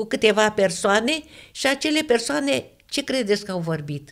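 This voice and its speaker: Very slow delivery from a woman with a fairly high pitch. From Romania, Ialomița county. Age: 80s+. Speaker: religious testimony giver. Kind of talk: testimony.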